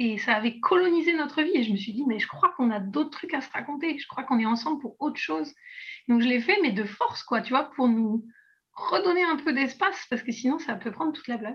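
A woman with a high-pitched voice and lively intonation talks at a fairly quick pace. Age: 20s. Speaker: artist and illustrator with chronic illness. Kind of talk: casual interview. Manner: hesitant, many fillers.

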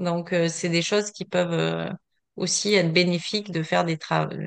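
Against a quiet background, a woman speaks with fairly low pitch at a moderate pace. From southern France, Vaucluse. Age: 40s. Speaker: running coach and athlete. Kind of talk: casual interview. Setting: video call.

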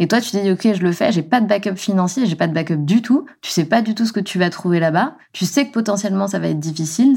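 Speaking at a very fast pace, a woman with a medium pitch and a dark, mellow tone uses lively intonation on a very clean recording with a silent background. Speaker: podcast host. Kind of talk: casual interview.

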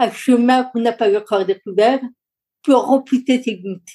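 This woman's voice is high in pitch yet dark and mellow in tone. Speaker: lawyer, coach and public speaker. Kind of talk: interview conversation.

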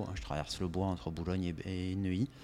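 Intonation stays fairly even as a man talks in a very deep, low voice. The clip is very clean and the background silent. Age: 40s. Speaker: company director and gym member. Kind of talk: casual interview chat.

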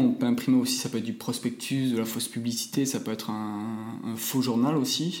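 A man talks at a fairly quick pace in a medium pitch. Audible room echo surrounds his voice. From France, Toulouse. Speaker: architect and designer. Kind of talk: interview. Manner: hesitant, many fillers.

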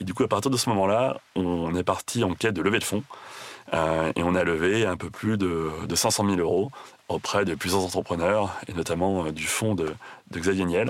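The man's voice is very deep and low, and he talks at a moderate pace. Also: ordinary pitch variation. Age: 30s. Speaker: chocolate entrepreneur. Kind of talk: interview. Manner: hesitant, many fillers.

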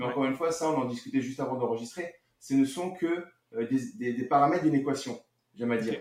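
A man at a medium pitch and a very fast pace. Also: ordinary pitch variation. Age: 40s. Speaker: real estate investor and marketer. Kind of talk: casual interview. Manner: halting, many fillers.

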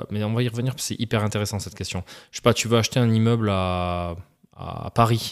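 In a normal speaking voice, a man talks at a fairly quick pace with fairly low pitch and fairly even intonation, on a very clean recording with a silent background. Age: 30s. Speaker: ex-banker and real estate investor. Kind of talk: podcast interview. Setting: studio.

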